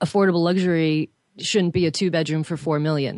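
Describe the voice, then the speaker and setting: The speech moves at a fairly quick pace with fairly even intonation over a quiet background. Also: woman. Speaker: real estate broker. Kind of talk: panel discussion.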